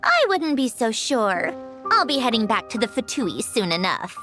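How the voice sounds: With faint music in the background, a woman uses a put-on character voice that is fairly high in pitch, bright and sharp in tone, with very wide pitch swings at a fairly slow pace.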